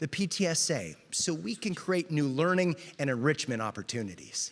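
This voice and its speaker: This man talks at a moderate pace in a fairly high pitch, his tone upbeat and energetic with very wide pitch swings, on a very clean recording with a silent background. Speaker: TV reporter and auctioneer. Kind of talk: charity auction hosting. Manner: upbeat, energetic.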